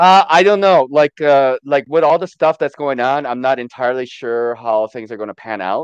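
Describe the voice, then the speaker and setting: An unremarkable speaking voice at a moderate pace, with lively intonation. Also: man, fairly high pitch for a man. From born in Korea, raised in the US from about age ten. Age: 40s. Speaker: livestream guest. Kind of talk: casual chat. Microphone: unstable Wi-Fi connection.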